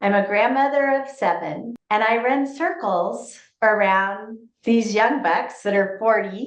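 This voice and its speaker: A woman speaks in a normal speaking voice, pitched fairly high. Her intonation is lively and her pace fairly slow. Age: 60s. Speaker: real estate agent. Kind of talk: interview.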